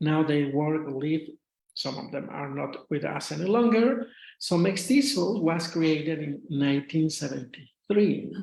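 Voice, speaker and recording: A man with a strong Mexican accent speaks at a fairly high pitch with lively intonation. Audible room echo surrounds his voice. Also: fairly slow pace. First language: Spanish. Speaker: retired English teacher, association officer. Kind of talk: lecture. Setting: video call. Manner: halting.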